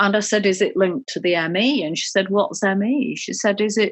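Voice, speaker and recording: Speaking with a British accent, a woman talks at a moderate pace in a medium pitch with ordinary pitch variation. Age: 60s. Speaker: patient with chronic fatigue. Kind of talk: therapy session conversation. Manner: halting.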